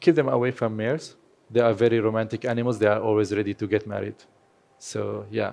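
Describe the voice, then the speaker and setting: Talking at a very fast pace, a man with a Kurdish accent uses a fairly low pitch and ordinary pitch variation. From Syria (Aleppo), Kurdish family. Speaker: horse photographer. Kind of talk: lecture.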